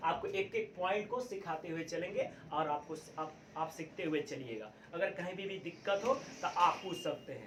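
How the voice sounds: In a room with audible echo, a man with a fairly high pitch and fairly bright tone talks at a moderate pace with few pauses. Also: lively intonation.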